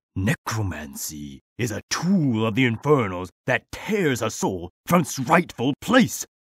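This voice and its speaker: Speaking at a fairly slow pace with hardly any pauses, a man at medium pitch makes very wide pitch swings, recorded with a dry, close sound and no echo. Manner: furious, preaching.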